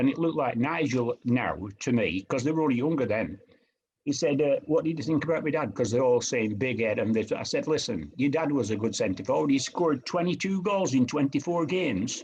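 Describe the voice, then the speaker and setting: A northern English accent with lively intonation, at a fairly quick pace. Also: man, fairly high pitch for a man. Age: 80s+. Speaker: retired professional footballer. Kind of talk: interview answer.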